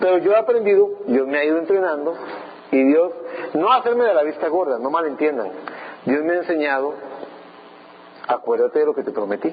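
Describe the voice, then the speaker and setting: Over noticeable background noise, a man with a high pitch talks at a fairly quick pace with lively intonation and long, frequent pauses. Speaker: pastor. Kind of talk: sermon.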